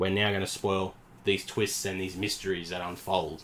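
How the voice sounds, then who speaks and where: With an Australian accent, a man speaks in a very deep, low voice and a monotone, flat intonation. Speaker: podcast co-host, movie reviewer. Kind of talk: casual chat, movie review.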